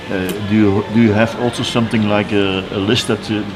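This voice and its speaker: Speaking at a fairly quick pace and fairly low pitch, a man keeps a fairly even intonation over noticeable background noise. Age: 60s. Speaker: interviewer. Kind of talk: interview.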